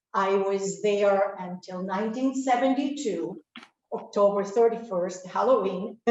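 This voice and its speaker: Speaking with a Spanish accent, a woman uses a medium pitch and ordinary pitch variation. Her pace is fairly slow. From Cuba, later raised in Spain and US. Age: 60s. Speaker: audience member. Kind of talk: personal testimony. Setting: speaking into camera at library talk.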